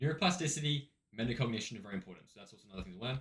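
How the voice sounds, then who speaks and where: The pitch of this man's voice rises and falls very widely. He goes at a very fast clip. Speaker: self-improvement video creator. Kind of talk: casual talking-head advice video. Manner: halting, many false starts.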